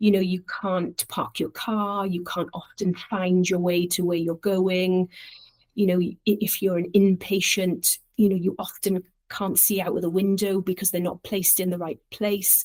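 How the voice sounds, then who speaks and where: In a Welsh accent, a woman speaks at a fairly slow pace and medium pitch with monotone, flat intonation, the sound dry and close with no echo. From Wales, Llantrisant. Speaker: charity director. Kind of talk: casual interview. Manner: halting.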